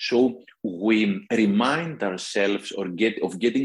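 In a Greek accent, a man with a fairly low pitch and ordinary pitch variation speaks over a quiet background. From Greece. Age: 50s. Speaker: author. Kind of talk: interview.

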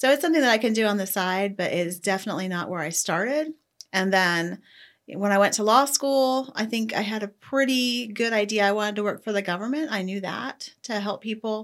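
In an ordinary speaking voice, a woman talks at a fairly quick pace with fairly high pitch and ordinary pitch variation, on a very clean recording with a silent background. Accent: American. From Ohio. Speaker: judge. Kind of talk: interview.

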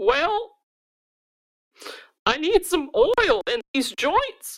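This is a put-on character voice pitched extremely high. It moves at a very slow pace with very wide pitch swings.

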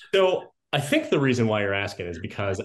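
A man with an unremarkable speaking voice talks at a moderate pace with lively intonation over a quiet background. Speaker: podcast co-host. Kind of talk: interview.

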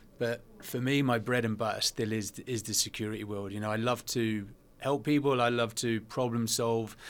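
Using a British accent, a man of medium pitch talks at a moderate pace in a monotone, flat intonation. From England. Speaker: veteran and adventurer. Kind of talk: casual interview.

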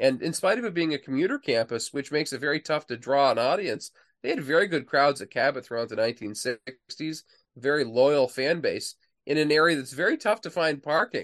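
An unremarkable speaking voice belongs to a man with a fairly high pitch and lively intonation, talking at a fairly quick pace. The sound is dry and close with no echo, against a quiet background. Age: 40s. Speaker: author and historian. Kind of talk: interview.

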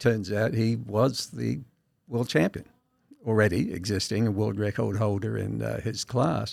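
A man with an Australian accent speaks at a moderate pace, his fairly low pitch showing vocal fry and ordinary pitch variation. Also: big swings in loudness. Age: 70s. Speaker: masters powerlifter. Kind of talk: casual interview.

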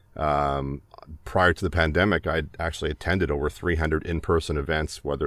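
A man's very deep, low voice with vocal fry, fairly even intonation and a Canadian accent. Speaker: voiceover artist. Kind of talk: casual chat. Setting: video call.

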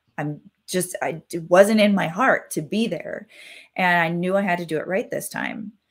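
A woman with a medium pitch speaks at a moderate pace with ordinary pitch variation, in an unremarkable speaking voice. The recording is very clean, with a silent background. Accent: American. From Wisconsin, US Midwest. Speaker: mindset coach and hypnotherapist. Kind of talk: podcast interview.

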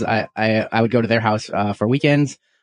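This man has an unremarkable speaking voice, medium in pitch, with an American accent. He talks at a fairly quick pace with fairly even intonation. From US Pacific Northwest, small town near Seattle. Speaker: sports card collector, communications manager. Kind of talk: casual interview.

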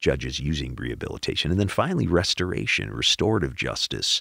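With an American accent and vocal fry, a man talks in very wide pitch swings, the sound dry and close with no echo. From Milwaukee, Wisconsin. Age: 50s. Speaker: judge. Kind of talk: casual interview.

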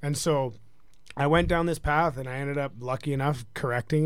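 A man talks with a western Canadian accent. His intonation is fairly even. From British Columbia, Canada. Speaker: hockey defenseman and combat fighter. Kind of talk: casual interview.

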